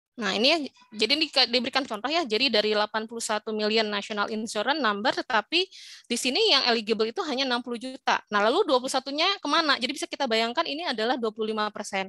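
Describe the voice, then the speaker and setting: Speaking at a very fast pace, a woman with a high pitch and a bright, sharp tone uses lively intonation, recorded dry with no echo against a quiet background. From Indonesia. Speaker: informatics lecturer. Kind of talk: lecture. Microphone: video call.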